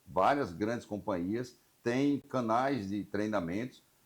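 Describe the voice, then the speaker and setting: With a plain, everyday voice, a man speaks at a fairly slow pace using lively intonation. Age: 60s. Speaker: insurance broker union representative, show host. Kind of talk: interview.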